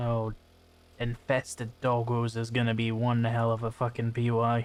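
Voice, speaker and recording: At a moderate pace, a man with a medium-pitched voice speaks at a very even loudness in a very clean recording with a silent background. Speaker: gaming youtuber. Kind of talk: gameplay commentary. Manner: monotone; flat, unexcited tone.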